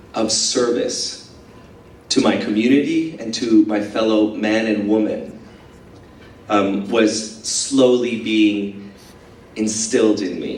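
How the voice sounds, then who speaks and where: A man speaks at a very slow pace with a fairly low pitch. Audible echo fills the room. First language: Spanish. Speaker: dance company director, former performer. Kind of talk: speech to audience. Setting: school event breakfast. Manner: hesitant, many filler words.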